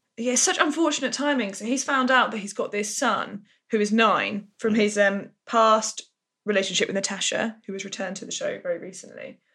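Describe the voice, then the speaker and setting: A fairly quick woman's voice, bright and sharp in tone, fairly high in pitch, with ordinary pitch variation and big swings in loudness. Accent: English. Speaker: soap podcast co-host. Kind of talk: casual chat.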